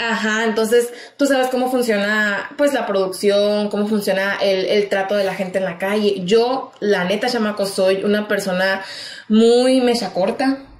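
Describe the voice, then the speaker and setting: A woman at a fairly slow pace, fairly even intonation, with audible room echo. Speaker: radio broadcaster, communications graduate. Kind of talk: casual podcast interview answer. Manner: expressive, talkative, informal. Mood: lively, amused storytelling. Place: studio.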